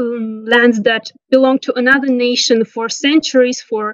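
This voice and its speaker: A woman's high, monotone voice with flat intonation and an Armenian accent, dry and close with no echo. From Nagorno-Karabakh (Artsakh). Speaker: interview guest, local resident. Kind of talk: interview. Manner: halting, many fillers and self-corrections.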